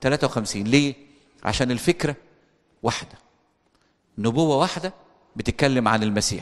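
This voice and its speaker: A man at a medium pitch with an Egyptian accent, fairly slow with long, frequent pauses and ordinary pitch variation. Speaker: priest. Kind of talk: bible study lecture.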